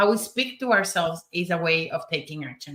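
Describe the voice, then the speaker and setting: Over music in the background, a woman with a Spanish accent speaks at a moderate pace. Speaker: summit speaker, prosperity coach. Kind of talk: panel discussion.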